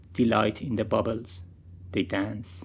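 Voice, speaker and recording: A man's somewhat breathy voice comes through at a fairly low pitch. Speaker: poet. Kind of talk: poetry reading. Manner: slow.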